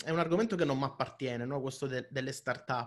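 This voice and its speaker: Somewhat breathy, a man's voice comes through. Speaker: interviewer, channel host. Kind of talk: casual interview. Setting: video call.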